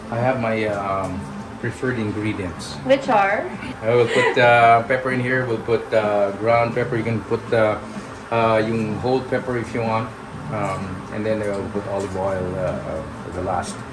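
Music can be heard behind the voice. The man keeps to a moderate tempo. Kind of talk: casual cooking explanation. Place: kitchen. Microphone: phone near.

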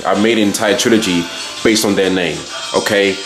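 Against clear music in the background, a man speaks with a fairly low pitch and fairly even intonation. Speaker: student vlogger. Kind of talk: casual vlog chat. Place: home room. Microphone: phone near.

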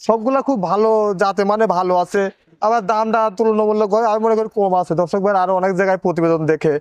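A man with a high pitch speaks with fairly even intonation and very even loudness, the sound dry and close with no echo. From Pabna, Bangladesh. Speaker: dairy farmer. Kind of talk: casual sales pitch on a farm tour.

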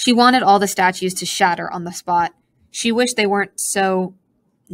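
In an unforced reading voice with ordinary pitch variation, the speaker talks over a quiet background.

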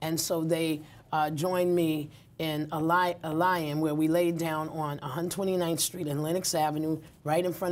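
A woman with a New York accent. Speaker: community activist and nonprofit founder. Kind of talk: interview. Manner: animated, laughs often. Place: studio. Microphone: lapel.

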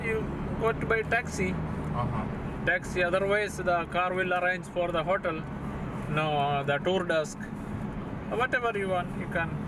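A man speaking at a moderate pace with long, frequent pauses and ordinary pitch variation, over loud background noise. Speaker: driver or tour guide. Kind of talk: casual conversation giving directions. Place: car. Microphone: camera far.

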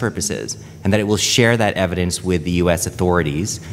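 A man with a Canadian accent speaks at a fairly quick pace. His pitch is very deep and low. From Canada. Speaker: panel moderator, lawyer. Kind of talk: conference panel discussion. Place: meeting room. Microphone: podium.

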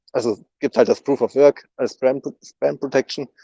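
The background is quiet and the sound dry with no echo. A man speaks in a dark, mellow tone. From northern Germany, near Rostock. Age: 20s. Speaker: software developer at a crypto foundation. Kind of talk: casual interview. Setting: online voice chat. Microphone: video call.

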